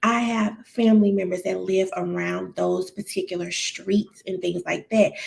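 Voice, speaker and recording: A woman with an American accent at a moderate pace, with hardly any pauses. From St. Louis, Missouri, US. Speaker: licensed therapist, YouTuber. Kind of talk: live stream commentary. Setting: home, late-night live stream. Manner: casual, many fillers.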